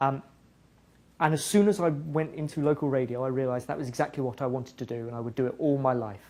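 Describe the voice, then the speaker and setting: A man with an English accent speaks in a fairly high voice. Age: 30s. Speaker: music partnerships director at a tech company. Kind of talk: guest talk to students.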